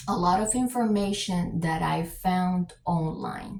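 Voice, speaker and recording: A woman with a Spanish accent speaks very slowly at a medium pitch, her voice somewhat breathy and her pitch varying in an ordinary way. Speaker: YouTube commentator. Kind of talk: reaction commentary. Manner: hesitant with fillers.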